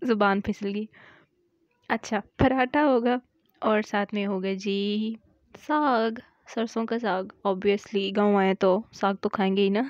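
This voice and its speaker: Against a quiet background, a woman at medium pitch speaks at a very slow pace with fairly even intonation and long, frequent pauses, the sound dry and close with no echo. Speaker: vlogger. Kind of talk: vlog voice-over. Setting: indoors, voice-over recording.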